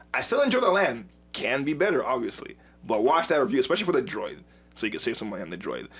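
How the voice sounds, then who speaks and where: Over music in the background, a man speaks in an animated tone at a very fast pace. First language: not English. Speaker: YouTube show co-host, Star Wars reviewer. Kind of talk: casual chat.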